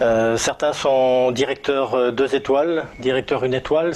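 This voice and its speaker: Talking at a fairly slow pace, a man with a medium pitch keeps his intonation fairly even over noticeable background noise. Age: 60s. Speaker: network marketing team leader. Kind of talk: testimony. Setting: indoors, filmed in a living room. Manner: hesitant, many filler sounds.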